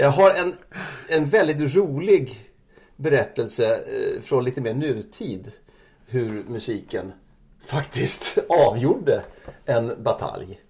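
Long, frequent pauses break up a man's speech, which moves at a very slow pace. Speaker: music journalist. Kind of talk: casual chat. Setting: at guest's home.

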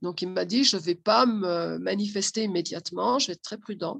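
A woman speaks at a medium pitch with vocal fry. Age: 60s. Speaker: social educator and family therapist. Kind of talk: interview.

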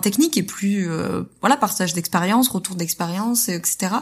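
Somewhat breathy, a woman with a medium pitch and ordinary pitch variation speaks on a very clean recording with a silent background. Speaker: entrepreneur and podcaster. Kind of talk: testimony. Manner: fast talker.

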